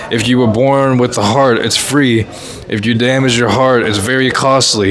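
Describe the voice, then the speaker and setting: With noticeable background noise and audible room echo, a man speaks at a medium pitch with fairly even intonation. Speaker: podcast host, spiritual content creator. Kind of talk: casual chat. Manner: halting.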